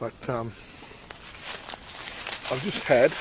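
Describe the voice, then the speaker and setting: Noticeable background noise can be heard. Over it, a man talks at a fairly slow pace. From Australia. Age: 60s. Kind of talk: casual talk to camera. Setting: outdoors.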